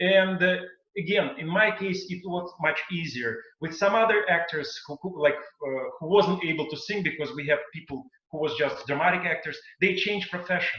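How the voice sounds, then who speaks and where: A high-pitched man with a strong non-native accent at a moderate pace. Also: ordinary pitch variation, big swings in loudness. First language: not English. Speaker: singer and stage performer. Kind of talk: panel discussion. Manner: halting.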